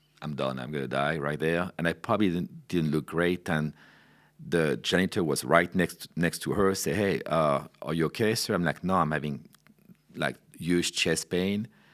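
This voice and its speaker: Speaking at a moderate pace with ordinary pitch variation, a man with a very deep, low pitch and vocal fry comes through on a very clean recording with a silent background. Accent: French. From France. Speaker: wine director. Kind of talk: interview storytelling. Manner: casual, with many fillers.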